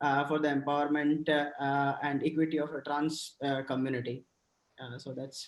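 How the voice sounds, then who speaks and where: A man speaks with a Gujarati Indian accent and a fairly high pitch. His intonation is monotone and flat. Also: moderate pace. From Gujarat, India (Rajkot). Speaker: diversity and inclusion professional. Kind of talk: panel discussion. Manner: halting, hesitant.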